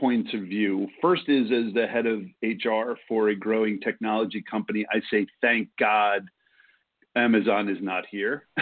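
Speaking in a New York accent, a man goes at a fairly slow pace. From New York City, Brooklyn. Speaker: HR consultant. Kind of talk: casual chat.

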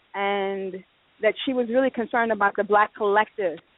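With an American accent, a woman talks at a medium pitch with fairly even intonation. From Chicago. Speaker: stage actor. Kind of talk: interview.

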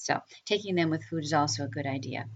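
The woman's voice shows ordinary pitch variation. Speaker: podcast host, holistic nurse practitioner and coach. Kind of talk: solo educational talk. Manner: fast.

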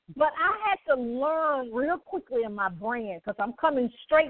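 With an energetic tone, a woman speaks at a fairly slow pace, her high voice swinging very widely in pitch. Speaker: podcast host and nurse anesthetist. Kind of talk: motivational talk show.

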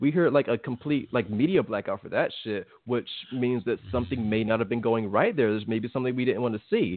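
An unremarkable speaking voice with an American accent, fairly quick, with hardly any pauses and ordinary pitch variation. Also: man, medium pitch for a man. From Virginia, US East Coast. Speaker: boxing podcast co-host. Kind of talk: casual chat.

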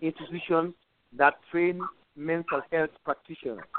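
This man speaks fairly slowly in a high pitch. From Sierra Leone. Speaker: sociologist, mental health specialist. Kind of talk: interview. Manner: hesitant, with fillers.

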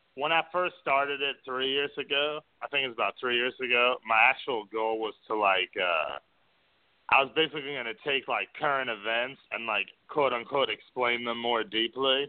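A man speaks with an American accent at a medium pitch. His pace is moderate, with ordinary pitch variation. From New York City. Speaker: freelance business writer. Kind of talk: call-in radio interview. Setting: phone call into radio show.

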